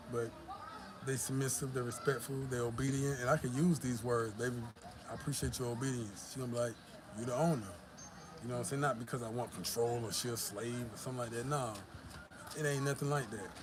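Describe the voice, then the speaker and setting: With an American accent, a man at a medium pitch speaks somewhat breathily with fairly even intonation and long, frequent pauses, amid audible room echo. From US South, Georgia. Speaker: YouTuber. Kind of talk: live stream chat. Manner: casual, profane.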